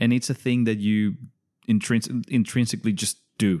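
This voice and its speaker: The background stays quiet. A man talks in a Spanish accent. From Venezuela. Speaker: podcast guest. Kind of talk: casual chat.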